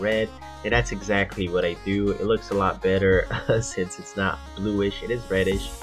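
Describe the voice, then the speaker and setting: Music in the background beneath a man's fairly low voice. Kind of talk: gaming commentary. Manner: casual, hesitant fillers.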